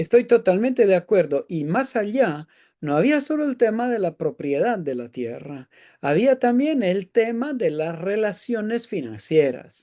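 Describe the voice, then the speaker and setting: A man's high-pitched voice with very wide pitch swings and a dark, mellow tone, at a fairly slow pace, dry and close with no echo, over a quiet background. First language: Italian (speaking Spanish). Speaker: economics professor. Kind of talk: interview discussion. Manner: halting.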